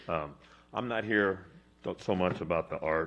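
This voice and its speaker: A man with a very deep, low pitch and fairly even intonation. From Gilroy, California. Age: 60s. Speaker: public commenter. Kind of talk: public comment testimony. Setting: city council chambers.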